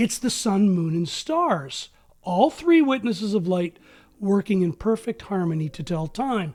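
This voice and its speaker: A woman speaks at a fairly slow pace with a dark, mellow tone and medium pitch. Her intonation is lively. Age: 60s. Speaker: bible teacher. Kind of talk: scripture study lecture. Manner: formal.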